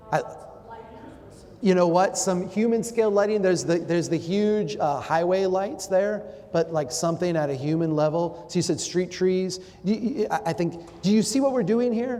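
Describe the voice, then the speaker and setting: A high-pitched man with an American accent, animated in tone, with ordinary pitch variation and very even loudness, against noticeable background noise. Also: moderate pace. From Minnesota, Brainerd. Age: 40s. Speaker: urban planning speaker. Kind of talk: public talk with audience interaction.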